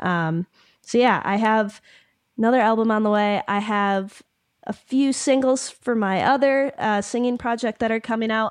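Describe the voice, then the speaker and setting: Using an unremarkable speaking voice, a woman with an American accent speaks at a moderate pace, her fairly high pitch following fairly even intonation. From Michigan. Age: young. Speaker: ukulele musician. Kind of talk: interview conversation. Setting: remote call.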